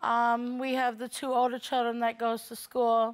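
Over a quiet background, a woman speaks at a moderate pace in a high, monotone voice with flat intonation. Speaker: litigant on a court show. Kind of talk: courtroom testimony. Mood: aggrieved, complaining. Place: studio.

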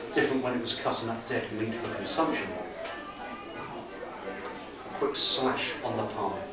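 Over loud background noise and audible room echo, a man speaks at a fairly slow pace. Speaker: author. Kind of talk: horror story reading. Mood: dark, suspenseful narration. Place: bar. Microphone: camera far.

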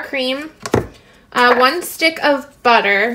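A raised, projected voice delivers the words at a very slow pace. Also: woman. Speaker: home cook vlogger. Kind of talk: tutorial. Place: kitchen. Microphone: phone near.

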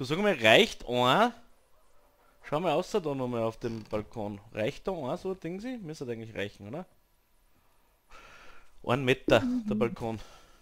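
A man's medium-pitched voice with very wide pitch swings and long, frequent pauses. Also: moderate pace. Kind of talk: gaming commentary. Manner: casual, chatty.

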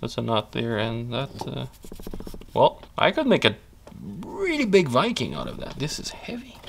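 Loudness swings widely as a man talks at a moderate pace with long, frequent pauses over noticeable background noise. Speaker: woodcarving youtuber. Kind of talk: tutorial. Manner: casual, with frequent fillers.

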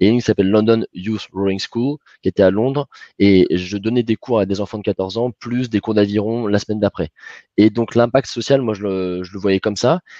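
Against a quiet background, a man speaks at a fairly low pitch with fairly even intonation, a dark, mellow tone and a dry sound with no echo. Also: moderate pace. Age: 20s. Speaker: alumni event moderator and financial controller; panel moderator, speaker. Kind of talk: moderated panel discussion. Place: home room. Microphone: headset.

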